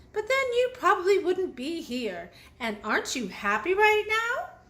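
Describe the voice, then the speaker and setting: A woman does a put-on character voice, squeaky and extremely high in pitch. Her pitch swings very wide at a moderate pace. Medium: read story. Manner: gentle, warm, good-humored.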